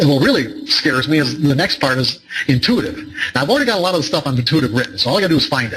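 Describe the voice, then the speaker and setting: Noticeable background noise sits behind this man. He talks at a very fast pace in a fairly high voice. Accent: American. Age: 60s. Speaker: trading psychology author and speaker. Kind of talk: seminar talk. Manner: halting, many repetitions and fillers.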